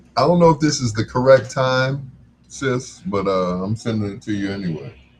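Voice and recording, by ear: This man talks at a moderate pace with a medium pitch and ordinary pitch variation.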